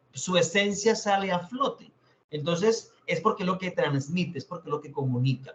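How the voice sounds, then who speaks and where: His intonation sounds lively. A man talks at a moderate pace. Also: big swings in loudness. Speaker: teacher. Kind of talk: lecture.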